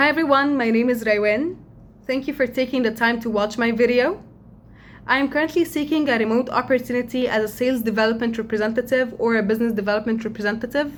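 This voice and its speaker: A woman with an Arabic accent speaks at a very fast pace. Her voice is high and her intonation fairly even. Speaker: job applicant. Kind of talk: video introduction. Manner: hesitant, with fillers.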